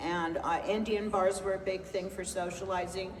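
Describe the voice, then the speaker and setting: A woman at a medium pitch talks at a moderate pace with fairly even intonation. Audible room echo and noticeable background noise fill the recording. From California (Los Angeles). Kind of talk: book festival conversation, Q&A. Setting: stage with audience.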